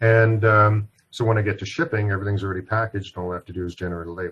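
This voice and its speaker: Against a quiet background, a somewhat breathy man speaks at a very fast pace in a monotone, flat intonation. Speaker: software product presenter. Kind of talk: webinar product demo.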